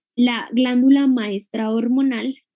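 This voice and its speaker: Her tone is dark and mellow. The woman talks very slowly. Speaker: university lecturer. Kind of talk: lecture.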